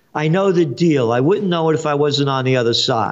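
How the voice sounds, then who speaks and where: This man speaks with a New York accent and a fairly high pitch. His intonation is lively. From New York City (Bronx). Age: 70s. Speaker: trend forecaster and publisher. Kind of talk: interview. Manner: animated.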